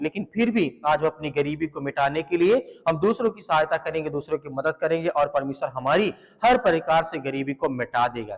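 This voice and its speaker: Pitched fairly high, a man speaks in an unremarkable speaking voice. His pace is moderate and his pitch varies in an ordinary way. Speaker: pastor / preacher leading prayer. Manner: reassuring, calm teaching.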